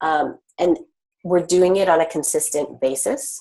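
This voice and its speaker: This woman's voice sits fairly low in pitch, with ordinary pitch variation. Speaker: design facilitator. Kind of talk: webinar presentation. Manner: many filler words and hesitations.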